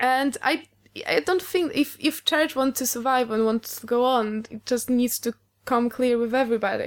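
At a moderate pace, a woman with a Polish accent speaks in a high pitch, with ordinary pitch variation. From Poland. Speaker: guest. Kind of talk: casual chat.

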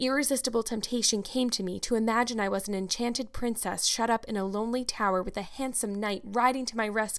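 A passage is read aloud. The delivery uses a natural voice.

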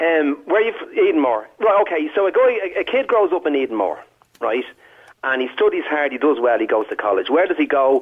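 A man speaks with a Dublin accent. His pace is fairly quick. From Dublin, Ireland (working class). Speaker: caller. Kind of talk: phone-in call. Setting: phone call.

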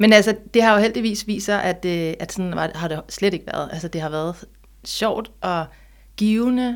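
With a normal speaking voice, a woman talks at a fairly slow pace, her loudness swinging widely and her pitch varying in an ordinary way, over a very clean recording with a silent background. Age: 40s. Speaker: author. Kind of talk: interview conversation.

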